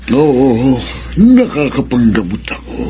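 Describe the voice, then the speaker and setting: A man puts on a character voice at a medium pitch and a very slow pace. Clear background noise runs underneath. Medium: old radio play. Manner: slow, aged.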